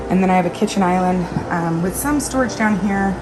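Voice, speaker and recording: Quiet and at a medium pitch, a woman speaks with fairly even intonation over noticeable background noise and audible room echo. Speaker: lifestyle vlogger, homemaker. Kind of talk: casual vlog tour. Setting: indoors in RV kitchen. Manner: casual, with fillers.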